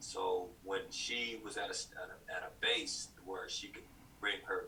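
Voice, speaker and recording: A man speaks with an American accent. There is audible room echo around his voice. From US South, Chattanooga, Tennessee. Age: 40s. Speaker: podcast guest. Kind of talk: casual interview conversation. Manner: halting, many fillers and restarts.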